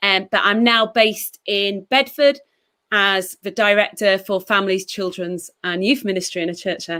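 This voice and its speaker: The speaker is a woman with a medium pitch. Her tone is bright and sharp. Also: ordinary pitch variation, moderate pace. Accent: slight Yorkshire. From northern England, West Yorkshire. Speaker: church children's and youth ministry director. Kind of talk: livestream interview.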